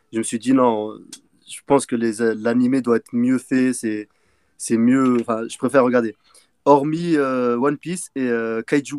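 An unremarkable speaking voice with fairly even intonation. The sound is dry and close with no echo. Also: man. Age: 20s. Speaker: machinist, manga fan guest. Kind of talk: casual chat.

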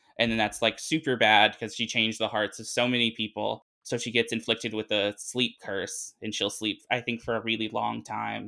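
Over a very clean recording with a silent background, a man with an American accent and a medium pitch speaks at a moderate pace with hardly any pauses, his bright, sharp tone flat and monotone with vocal fry. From US South, Arkansas. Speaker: anime fan guest. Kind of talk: casual chat.

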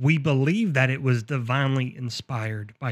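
A man with an ordinary speaking voice talks at a moderate pace and medium pitch. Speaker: podcast host. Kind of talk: casual chat.

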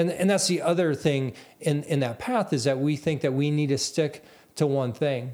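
An ordinary speaking voice from a man at a fairly high pitch, with ordinary pitch variation and a fairly quick pace, comes through on a very clean recording with a silent background. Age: 40s. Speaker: podcast host. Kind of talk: solo monologue. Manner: repetitive false starts.

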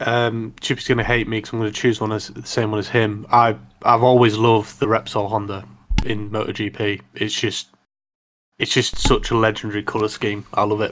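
Monotone, flat intonation from a man at medium pitch and a moderate pace, on a very clean recording with a silent background. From Yorkshire, northern England. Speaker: motorcycle podcast co-host. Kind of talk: casual chat.

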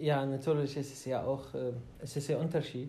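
Amid audible room echo, a man speaks in a dark, mellow tone with monotone, flat intonation. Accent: Arabic. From Iraq, Baghdad. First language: Arabic (speaking German). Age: 30s. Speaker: podcast co-host. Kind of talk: casual chat. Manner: halting.

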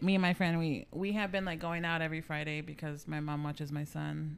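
At a fairly quick pace with hardly any pauses, a woman speaks with fairly low pitch and fairly even intonation. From San Antonio, Texas. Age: 30s. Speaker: guest sharing life story. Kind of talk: casual interview.

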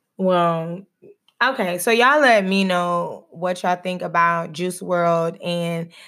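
In an American accent and a normal speaking voice, a woman with a fairly low pitch talks at a fairly slow pace with fairly even intonation on a very clean recording with a silent background. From Texas. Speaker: podcast host, doctoral student and schoolteacher. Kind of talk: casual chat.

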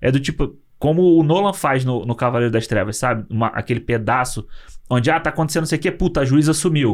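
A man talks very fast in an animated tone, with lively intonation and a fairly high pitch. His loudness stays very even. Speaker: film podcast co-host. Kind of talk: casual chat.

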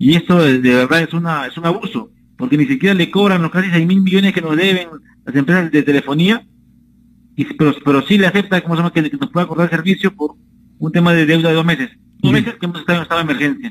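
A man with a high-pitched voice speaks at a very fast pace. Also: ordinary pitch variation. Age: 30s. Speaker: politician. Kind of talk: radio interview. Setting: phone call. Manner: halting.

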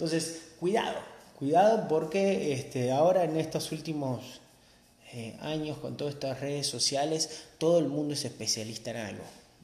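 With an Argentine accent, a man speaks at a moderate pace with ordinary pitch variation, and audible room echo is present. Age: 30s. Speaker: podcast host, motorcycle instructor. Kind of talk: casual monologue.

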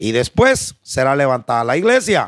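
The man talks at a fairly slow pace. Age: old. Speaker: pastor. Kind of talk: sermon. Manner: halting.

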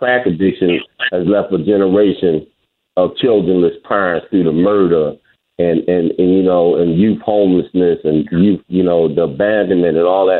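This man has a low-pitched voice. He talks at a moderate pace with ordinary pitch variation.

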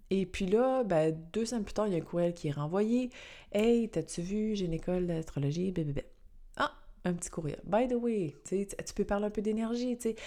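The voice has a dark, mellow tone and a Quebec accent. Pitch varies in an ordinary way, at a moderate pace. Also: woman, medium pitch for a woman. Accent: Québécois French. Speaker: astrologer and podcast host. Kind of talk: casual solo podcast talk; scripted intro narration.

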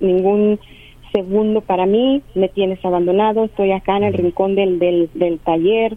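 At a fairly slow pace, a woman with an ordinary speaking voice talks at medium pitch with fairly even intonation. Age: 50s. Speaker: caller. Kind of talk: phone-in question to a radio counselor.

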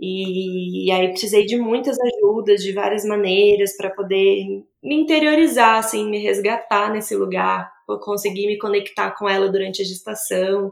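A woman with an unremarkable speaking voice talks at a fairly slow pace with hardly any pauses, her medium pitch showing ordinary variation. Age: 30s. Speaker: obstetric nurse and new mother. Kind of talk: interview testimony about her birth.

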